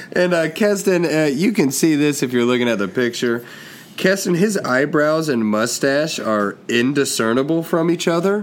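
At a moderate pace, a man with a fairly high pitch uses lively intonation and very even loudness over noticeable background noise. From Kentucky. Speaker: comedian and podcast co-host. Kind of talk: casual chat.

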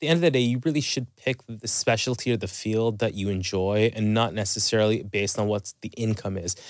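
With a Canadian accent, a man of medium pitch talks at a fairly quick pace in an unremarkable speaking voice. The recording is very clean, with a silent background. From Canada, Toronto. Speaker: family and sleep medicine doctor. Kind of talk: interview.

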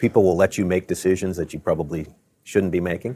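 In a very clean recording with a silent background, a man with a very deep, low pitch speaks in an American accent. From Maryland, Baltimore. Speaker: tech company CEO. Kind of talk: interview. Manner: halting, many fillers.

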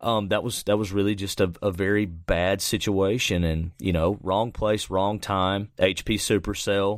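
The recording is very clean, with a silent background. A man speaks fairly slowly with hardly any pauses, his fairly low voice flat and monotone. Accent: Alabama. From central Alabama. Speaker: professional storm chaser. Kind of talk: casual interview.

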